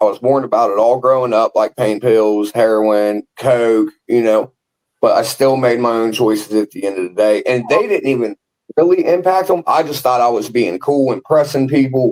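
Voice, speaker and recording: A man's normal speaking voice at medium pitch, with moderate pace, ordinary pitch variation and a dry, close sound with no echo. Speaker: person in recovery from addiction. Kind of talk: interview answer. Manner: casual, candid.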